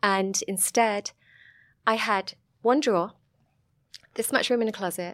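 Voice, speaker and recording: A woman speaks with a Sussex accent. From southern England, Sussex. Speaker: vineyard owner and film producer. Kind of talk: casual interview chat.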